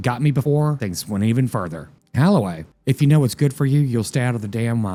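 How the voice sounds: This is a natural reading voice. Pitch variation is ordinary.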